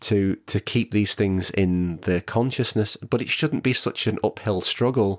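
A man's fairly low voice at a fairly slow pace, with ordinary pitch variation, hardly any pauses, very even loudness and a dry, close sound with no echo. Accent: northern English. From northwest England. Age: 30s. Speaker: actor and singer. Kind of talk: casual chat.

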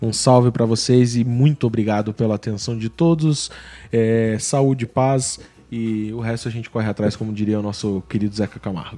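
A man with a medium pitch speaks at a moderate pace. His tone is dark and mellow, with fairly even intonation. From Brazil, interior of Paraná. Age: 30s. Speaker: podcast host. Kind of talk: casual chat. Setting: studio.

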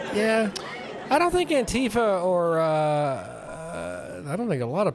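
The speech moves at a fairly slow pace. Crowd noise can be heard in the background. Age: old. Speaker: podcast host. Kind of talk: casual chat.

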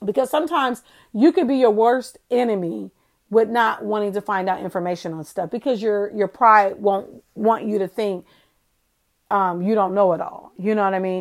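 In a very clean recording with a silent background, a woman with a normal speaking voice talks at a medium pitch. Her pace is moderate and her pitch variation ordinary. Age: 40s. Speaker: faith podcast host. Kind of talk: casual inspirational monologue. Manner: conversational, with filler ums.

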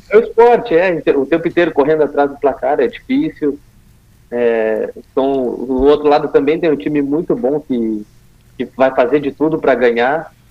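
A man talks at a moderate pace, with a fairly high pitch and ordinary pitch variation. He has an unremarkable speaking voice. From Rio Grande do Sul, Brazil. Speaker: futsal player. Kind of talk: interview.

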